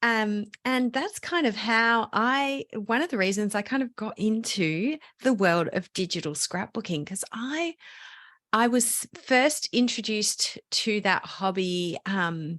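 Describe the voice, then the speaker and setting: In an Australian accent, the speaker goes at a very slow pace with lively intonation, on a very clean recording with a silent background and a dry, close sound with no echo. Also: woman, fairly high pitch for a woman. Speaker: digital scrapbooking teacher. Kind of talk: podcast interview.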